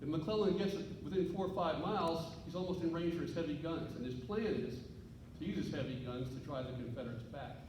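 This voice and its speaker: A loud voice with an American accent rushes at a very fast pace with lively intonation, amid noticeable background noise and audible room echo. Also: man. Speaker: historian and author. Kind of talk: lecture. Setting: stage with audience.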